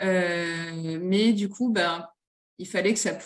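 Her pitch sits in the medium range. This woman's pitch varies an ordinary amount. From northern France (Nord-Pas-de-Calais). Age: 30s. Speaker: children's clothing brand founder. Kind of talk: interview. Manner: hesitant, many fillers.

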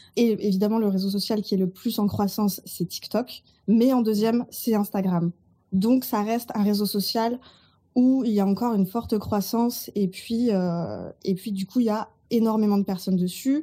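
A woman's somewhat breathy voice has a dark, mellow tone and fairly even intonation, captured on a very clean recording with a silent background. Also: medium pitch for a woman, moderate pace. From Burgundy, France. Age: 30s. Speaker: social media consultant. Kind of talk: podcast interview.

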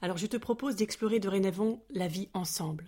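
On a very clean recording with a silent background, a woman speaks at medium pitch and moderate pace, somewhat breathy, with ordinary pitch variation. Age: 40s. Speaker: podcast host. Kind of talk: scripted narration. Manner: soft-spoken.

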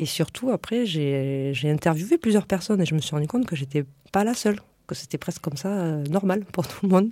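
Lively in intonation, a woman with a fairly low pitch speaks at a fairly quick pace. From France, Lot countryside. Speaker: entrepreneur, former biomedical engineer. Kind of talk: radio interview. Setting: radio studio. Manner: halting.

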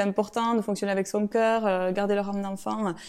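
This woman has a medium pitch. Her tone is dark and mellow. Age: 30s. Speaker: real estate investor and entrepreneur. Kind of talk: interview. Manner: halting.

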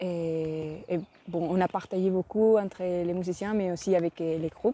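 A woman with a dark, mellow tone and fairly low pitch speaks at a fairly slow pace in a dry, close sound with no echo. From Spain. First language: Spanish (speaking French). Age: 20s. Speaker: cellist. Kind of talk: interview testimony.

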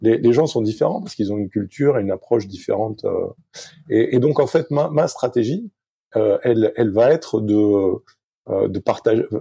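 A man's somewhat breathy, medium-pitched voice with a dark, mellow tone, ordinary pitch variation, a moderate pace and long, frequent pauses. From southwest France, Arcachon. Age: 50s. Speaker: sailing coach and former Olympic sailor. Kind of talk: interview. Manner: halting, many hesitations.

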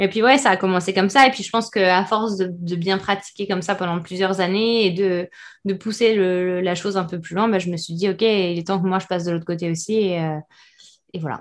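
In an ordinary speaking voice, a woman at medium pitch talks at a fairly quick pace with fairly even intonation over a quiet background. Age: 30s. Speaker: meditation and yoga teacher. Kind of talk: casual interview.

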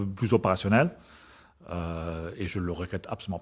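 The speaker has a German accent. The background is quiet. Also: man. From Germany. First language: German (speaking French). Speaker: corporate purchasing director. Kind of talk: interview. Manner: halting.

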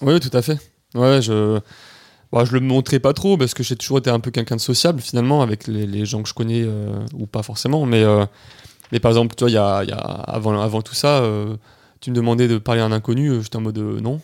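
At a fairly quick pace, a man talks in an ordinary speaking voice, medium in pitch with ordinary pitch variation. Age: 20s. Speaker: adventurer, polar expedition member. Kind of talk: casual interview.

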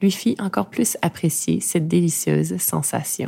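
A woman's voice has a dark, mellow tone and a fairly low pitch. She speaks at a very slow pace. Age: 40s. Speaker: podcast host and narrator. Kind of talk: personal testimony; scripted narration.

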